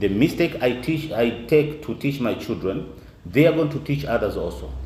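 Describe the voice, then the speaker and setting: With ordinary pitch variation and a moderate pace, a man is heard through noticeable background noise and audible room echo. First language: not English. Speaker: Quran teacher. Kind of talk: lecture. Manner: halting.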